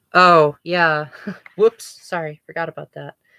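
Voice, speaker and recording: With an American accent and a bright, sharp tone, the speaker goes at a fairly slow pace in a dry, close sound with no echo. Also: woman. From United States. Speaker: gaming livestreamer. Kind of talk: casual chat. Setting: livestream.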